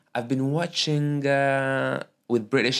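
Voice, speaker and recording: This man talks at a very slow pace. His pitch is medium. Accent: French. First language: Arabic. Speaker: podcast host and stand-up comedian. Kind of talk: casual chat. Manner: halting.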